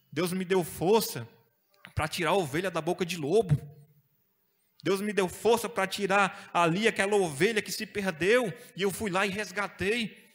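A man with a high voice speaks with ordinary pitch variation, stopping often for long pauses. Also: moderate pace. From Brazil. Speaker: preacher. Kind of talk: sermon. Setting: church. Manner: animated; exhortative, call-and-response. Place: church. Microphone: handheld.

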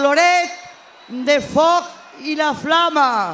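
In a high pitch, a woman talks at a very slow pace. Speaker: mayor. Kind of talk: public speech at a festival, mixing Spanish and Valencian.

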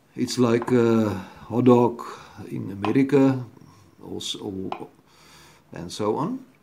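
A man's very slow speech with long, frequent pauses, big swings in loudness and light background noise. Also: ordinary pitch variation. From South Africa. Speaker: home video blogger. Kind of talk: product review tutorial. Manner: hesitant, many fillers. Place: home room. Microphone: phone near.

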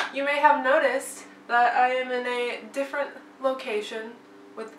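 A woman speaks in a room with audible echo. Light background noise sits behind her voice. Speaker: vlogger. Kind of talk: casual vlog chat. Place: home room. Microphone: camera far.

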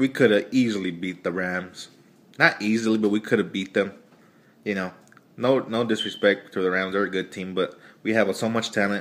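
A man speaks at a fairly quick pace with a fairly low pitch. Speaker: sports fan vlogger. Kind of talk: angry sports rant, profane opinion monologue. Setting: video blog to camera. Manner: animated, loud, heated; casual, rambling, stream-of-consciousness. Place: home room. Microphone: phone near.

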